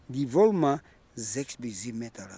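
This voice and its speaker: A man speaks at a fairly slow pace with fairly high pitch. His tone is dark and mellow. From Namibia, Ovamboland. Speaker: crocodile farm guide. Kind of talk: guided tour. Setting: outdoors at a crocodile farm.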